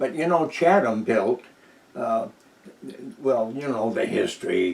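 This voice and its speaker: Over noticeable background noise, a man speaks at a fairly slow pace with a medium pitch and lively intonation. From New Hampshire. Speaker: war veteran; lighthouse tour guide. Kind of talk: oral history interview answer. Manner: hesitant, casual.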